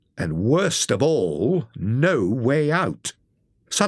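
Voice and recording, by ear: The background is quiet. A natural voice reads aloud.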